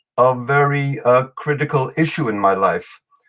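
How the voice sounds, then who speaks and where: A man with a German accent speaks at a fairly high pitch, with ordinary pitch variation. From New York City. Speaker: storyteller and author. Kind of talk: podcast interview. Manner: hesitant, many fillers.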